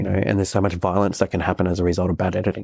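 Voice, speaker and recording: A man's very deep, low pitch in an Australian accent, very fast pace and ordinary pitch variation, with dry, close sound and no echo. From Australia, southeast Queensland. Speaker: CEO and media personality. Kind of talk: podcast interview answer.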